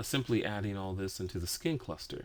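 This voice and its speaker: A man with an ordinary speaking voice, fairly low in pitch, with ordinary pitch variation. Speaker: 3D rigging instructor. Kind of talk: software tutorial.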